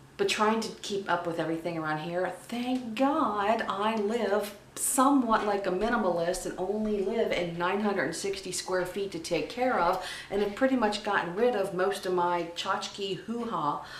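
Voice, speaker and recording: A woman at a medium pitch and moderate pace, with ordinary pitch variation and hardly any pauses, amid noticeable background noise and audible room echo. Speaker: vlogger, travel industry worker. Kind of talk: casual vlog monologue.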